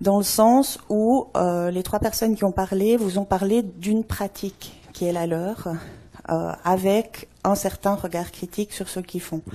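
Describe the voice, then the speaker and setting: At a very slow pace, a woman with a Swiss accent speaks in a dark, mellow tone at a medium pitch with fairly even intonation. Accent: noticeable foreign accent, Swiss. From Switzerland. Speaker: anthropologist. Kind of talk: conference talk. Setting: stage with audience.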